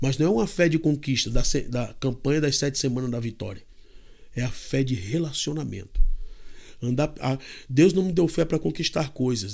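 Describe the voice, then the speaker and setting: A man talks at a moderate pace in a normal speaking voice. The recording is very clean, with a silent background. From Brazil, Fortaleza, Ceará. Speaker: missionary preacher. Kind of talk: podcast interview with preaching. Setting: studio table recording.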